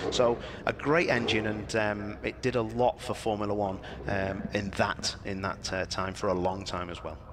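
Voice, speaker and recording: A fairly low-pitched man with a Liverpool accent, over noticeable background noise. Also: ordinary pitch variation, moderate pace. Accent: Liverpool area. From northern England, near Liverpool. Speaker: motorsport commentator. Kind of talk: live event commentary, casual chat. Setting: live stream at a race track. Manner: animated.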